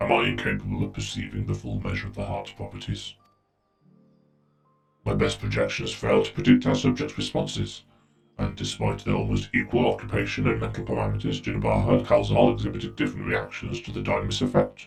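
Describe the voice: A man puts on a character voice with an extremely low pitch, vocal fry and a robotic, processed sound, talking at a fairly quick pace with fairly even intonation as faint music plays in the background.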